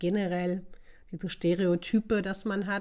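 With a dark, mellow tone, a woman speaks at a fairly low pitch in a monotone, flat intonation. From northern Germany, Osnabrück. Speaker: podcast guest. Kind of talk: casual chat.

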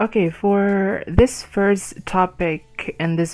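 Speaking very slowly, a woman talks with an Indonesian accent. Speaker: podcast host. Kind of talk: solo podcast monologue. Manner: halting, with many fillers.

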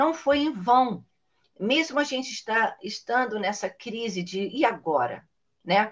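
This woman's fairly high voice moves through very wide pitch swings. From Niterói, Brazil. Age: 60s. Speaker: children's author and storyteller. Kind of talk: casual interview chat.

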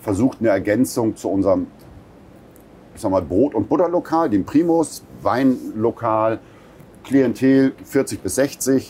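A man with a dark, mellow tone speaks at a fairly slow pace and a medium pitch, with lively intonation, big swings in loudness and long, frequent pauses. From northern Germany, Buxtehude. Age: 50s. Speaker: restaurateur. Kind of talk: interview.

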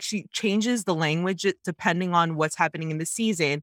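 With a Canadian accent, a woman speaks in a plain, everyday voice at a fairly low pitch and moderate pace, her intonation fairly even, the sound dry and close with no echo on a very clean recording with a silent background. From Canada, Jamaican Canadian. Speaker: podcast co-host. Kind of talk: casual chat.

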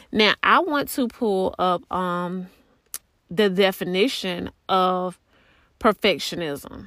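A woman's medium-pitched voice in a Southern US accent, very slow in pace with ordinary pitch variation. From US South. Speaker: podcast host. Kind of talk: solo podcast monologue. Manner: casual with frequent fillers.

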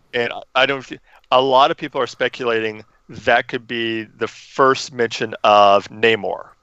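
Here is a normal speaking voice at a fairly slow pace. The intonation stays fairly even. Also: man, medium pitch for a man. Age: 40s. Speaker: podcast host. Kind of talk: casual chat.

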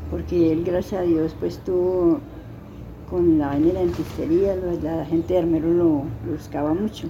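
A woman's fairly low, monotone voice at a moderate pace, with audible room echo and noticeable background noise. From Colombia, Tolima. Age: 80s+. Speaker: interviewee sharing life story. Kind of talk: life story interview. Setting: at her home in a Tolima town.

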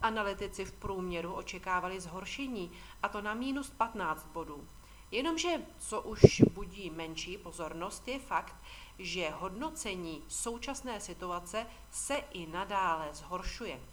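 Vocal fry marks this woman's speech, delivered at a fairly slow pace. Her loudness swings a lot. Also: medium pitch for a woman, lively intonation. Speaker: financial market commentator. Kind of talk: scripted market commentary. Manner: formal.

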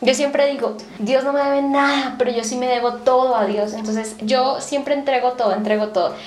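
A woman with a high voice talks at a fairly quick pace with hardly any pauses. Noticeable background noise and audible room echo are in the recording. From Colombia, Bogotá. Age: 20s. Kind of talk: radio interview testimony.

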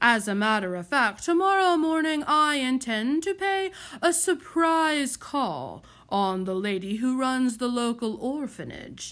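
A woman's put-on character voice, high-pitched with big pitch swings, a fairly bright tone and a fairly slow pace

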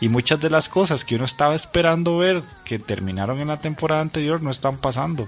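A man talks very fast, his pitch varying in an ordinary way, with noticeable background noise around him. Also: fairly high pitch for a man. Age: 30s. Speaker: podcast host. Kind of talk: casual chat.

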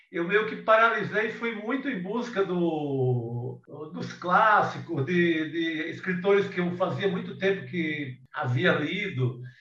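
A man's high voice at a very slow pace with hardly any pauses and lively intonation, amid audible room echo and noticeable background noise. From Ceará, Brazilian Northeast (Cariri). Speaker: writer and journalist. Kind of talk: casual interview. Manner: halting, many repetitions.

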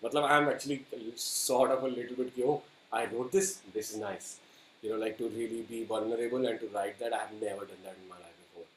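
The speech moves at a fairly quick pace with ordinary pitch variation and big swings in loudness. Noticeable background noise runs under it. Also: man, medium pitch for a man. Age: 30s. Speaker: singer-songwriter. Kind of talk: interview.

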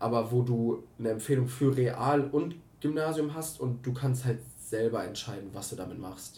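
A man's somewhat breathy voice, dark and mellow in tone at a medium pitch, with ordinary pitch variation, big swings in loudness, a moderate pace and audible room echo. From Germany, Herford (East Westphalia). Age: 20s. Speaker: podcast co-host. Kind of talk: casual chat.

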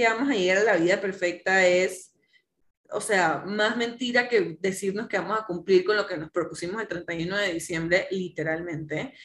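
A woman's voice at a fairly slow pace. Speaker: psychologist and coach. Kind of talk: casual chat.

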